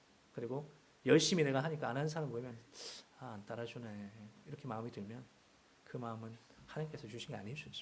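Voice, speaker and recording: A man speaks at medium pitch and a very fast pace, somewhat breathy, with ordinary pitch variation and big swings in loudness. His long, frequent pauses carry audible room echo. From Seoul. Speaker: guest preacher. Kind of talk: sermon.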